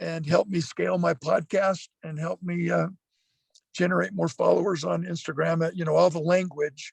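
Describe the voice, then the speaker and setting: A man talks at a moderate pace. The audio is dry and close, with no echo. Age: 60s. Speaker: motivational speaker. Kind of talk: casual chat.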